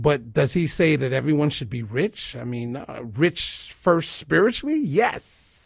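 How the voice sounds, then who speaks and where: A man with a fairly high pitch and a somewhat breathy voice speaks at a fairly slow pace with hardly any pauses. His intonation is lively and his loudness swings widely. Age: 40s. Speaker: spoken word poet and minister. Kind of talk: interview.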